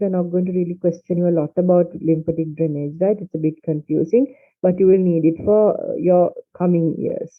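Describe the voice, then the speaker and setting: A man's high-pitched voice at a fairly quick pace, with music in the background. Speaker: medical lecturer. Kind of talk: lecture. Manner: halting.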